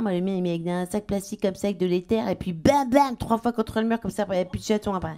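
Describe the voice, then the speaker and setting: A woman speaks at a fairly quick pace. Her pitch is medium, and there is noticeable background noise. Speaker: stand-up comedian. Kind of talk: stand-up comedy routine.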